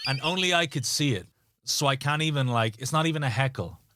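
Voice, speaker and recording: A man with an Irish accent at a fairly quick pace. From Ireland. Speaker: stand-up comedian. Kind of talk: anecdote told in interview.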